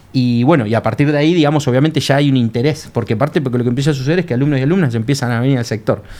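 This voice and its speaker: A man talks at a very fast pace with hardly any pauses, his pitch medium. His tone is dark and mellow, with ordinary pitch variation. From Argentina, Buenos Aires northern suburbs. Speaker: government video game coordinator and lecturer. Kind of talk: casual chat.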